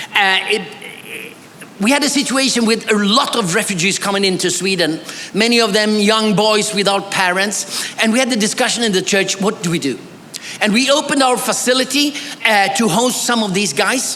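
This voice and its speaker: A man projects a raised voice at a high pitch and moderate pace, his loudness very even and his pitch varying in an ordinary way. Noticeable background noise and audible room echo come through. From Bolivia, missionary kid of Swedish family. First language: Swedish. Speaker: pastor and theology scholar. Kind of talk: academic conference presentation. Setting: church conference with audience.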